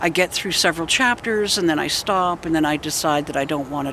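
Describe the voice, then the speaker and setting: The speaker keeps a moderate pace with ordinary pitch variation. Noticeable background noise is present. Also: woman. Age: 60s. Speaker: paranormal investigator and video blogger. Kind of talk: casual vlog monologue.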